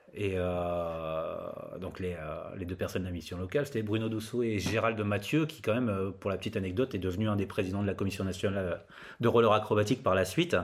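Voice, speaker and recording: A man's unremarkable speaking voice, fairly low in pitch, with ordinary pitch variation and a fairly quick pace. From northern France, Laon (Aisne). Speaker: skatepark consultant, former roller skater. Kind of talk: interview, casual chat.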